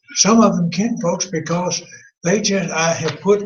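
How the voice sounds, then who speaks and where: A man's high-pitched voice, with audible room echo and noticeable background noise. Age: 80s+. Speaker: Bible class teacher. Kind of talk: Bible class lecture. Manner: halting.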